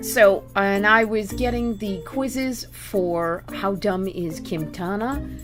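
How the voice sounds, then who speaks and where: Music plays in the background as a woman speaks with a Boston accent. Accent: American, Boston area. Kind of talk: casual talk to camera.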